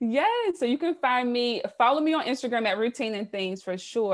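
A woman with an American accent and an ordinary speaking voice, lively intonation and a moderate pace. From US South, South Carolina. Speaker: entrepreneur, podcast host. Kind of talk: interview.

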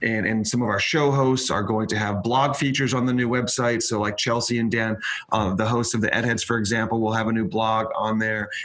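Speaking at a moderate pace in a monotone, flat delivery, a man is heard with audible room echo and noticeable background noise. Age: 30s. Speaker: media company owner. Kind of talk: interview.

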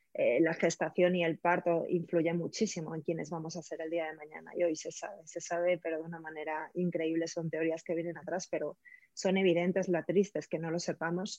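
A woman speaks at a fairly quick pace with hardly any pauses, her fairly low pitch held in a monotone, flat intonation. Her loudness swings widely. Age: 40s. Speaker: prenatal and postnatal coach. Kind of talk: interview. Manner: halting.

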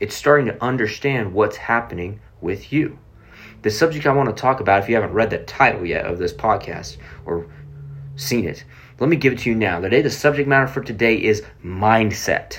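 Speaking in a plain, everyday voice with an American accent, the speaker moves at a fairly quick pace with lively intonation. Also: man, medium pitch for a man. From Oklahoma City, US. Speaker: podcast host, motivational speaker. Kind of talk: motivational talk.

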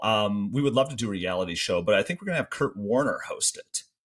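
Talking at a fairly quick pace with a Midwestern accent, a man sounds somewhat breathy and makes very wide pitch swings. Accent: Canada-adjacent Midwestern. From Michigan. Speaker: podcast host. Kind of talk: casual chat.

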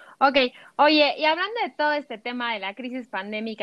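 A woman's ordinary speaking voice at a fairly quick pace, with ordinary pitch variation. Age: 30s. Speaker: podcast host. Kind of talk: casual chat.

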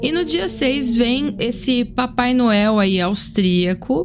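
A woman with a high pitch and lively intonation speaks over noticeable background noise. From Brazil, Sorocaba (São Paulo state). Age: 30s. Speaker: podcast host and cachaça importer. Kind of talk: casual monologue.

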